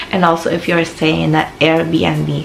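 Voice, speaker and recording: This woman talks with a Filipino accent. Room echo is audible, and background noise is noticeable. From Philippines. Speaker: vlogger. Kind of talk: casual advice vlog.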